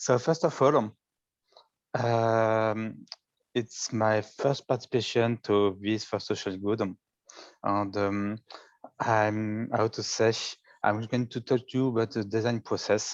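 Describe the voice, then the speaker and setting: With a French accent, a man speaks at a very slow pace with long, frequent pauses and fairly even intonation at a medium pitch. The background is quiet. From France, Paris area. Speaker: data visualization contest participant. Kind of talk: presentation of own work. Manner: halting.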